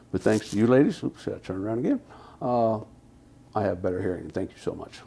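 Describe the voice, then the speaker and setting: Speaking at a very fast pace, a man has a dark, mellow tone and a fairly low pitch. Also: ordinary pitch variation. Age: 60s. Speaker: hearing aid client giving a testimonial. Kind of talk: testimonial interview. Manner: halting.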